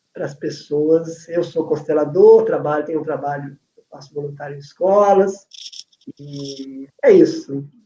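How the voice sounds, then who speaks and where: Speaking at a fairly slow pace, a man with a fairly high pitch keeps his intonation fairly even while his loudness swings widely. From Brazil. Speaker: family constellation facilitator, educator. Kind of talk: casual chat, online live talk.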